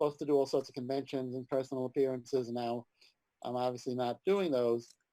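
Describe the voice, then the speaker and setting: This voice has a New York accent and a dark, mellow tone. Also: man. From New York City (Manhattan). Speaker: comics writer and editor. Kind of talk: interview.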